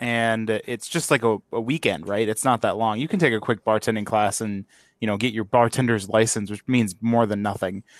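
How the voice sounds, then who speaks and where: A plain, everyday voice: a man at a medium pitch speaks at a fairly quick pace, in a very clean recording with a silent background and a dry, close sound with no echo. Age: 20s. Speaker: podcast host. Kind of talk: casual chat.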